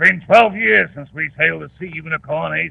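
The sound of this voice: Putting on a character voice, a man speaks at a fairly quick pace and fairly high pitch, with a slightly husky edge, vocal fry and ordinary pitch variation.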